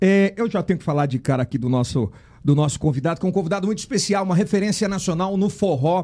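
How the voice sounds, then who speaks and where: A dark, mellow tone at a very fast pace, lively intonation, on a very clean recording with a silent background. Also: man, high pitch for a man. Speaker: podcast host. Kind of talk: casual interview chat.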